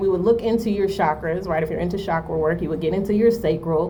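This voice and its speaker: A fairly quick woman's voice amid noticeable background noise and audible room echo. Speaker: spiritual advisor / oracle reader. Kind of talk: spiritual talk to camera. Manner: fast; casual, many fillers like right and okay.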